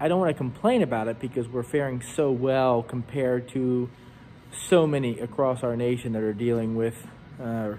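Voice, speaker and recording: Light background noise sits behind the voice. The intonation stays fairly even, and the pace is moderate. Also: man. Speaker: rental company reporter. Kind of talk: casual vlog chat. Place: hall. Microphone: phone near.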